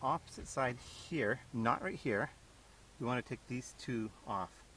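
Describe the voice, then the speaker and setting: Vocal fry runs through fairly even intonation in a dry recording with no echo and light background noise. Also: man. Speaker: home mechanic. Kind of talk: DIY repair tutorial. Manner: mumbling. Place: car.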